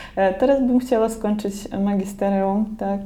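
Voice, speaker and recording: In a Belarusian accent, a woman speaks very slowly at a fairly high pitch with a dark, mellow tone. Audible room echo surrounds her voice. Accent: Belarusian accent in Polish. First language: Belarusian or Russian (speaking Polish). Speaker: artist and university graduate. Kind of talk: interview.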